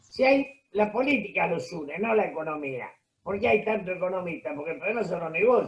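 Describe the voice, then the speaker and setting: With a Rioplatense accent, a man talks at a fairly quick pace, his pitch high for a man and his intonation lively. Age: 70s. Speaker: political commentator. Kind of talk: interview.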